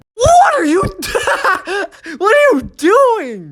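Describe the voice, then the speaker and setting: A put-on character voice, squeaky and extremely high, with very wide pitch swings. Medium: game stream.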